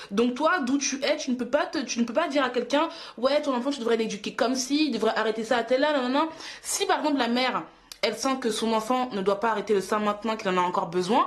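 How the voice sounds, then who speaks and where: Noticeable background noise sits under a woman speaking at a very fast pace. Her pitch is high and her intonation lively. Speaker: YouTuber and mother. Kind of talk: casual vlog monologue. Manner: animated.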